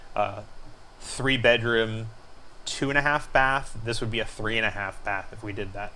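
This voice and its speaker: A man talks at a medium pitch with fairly even intonation. His tone is bright and sharp. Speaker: homeowner showing house plans. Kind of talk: screencast tutorial walkthrough. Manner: fast; hesitant fillers.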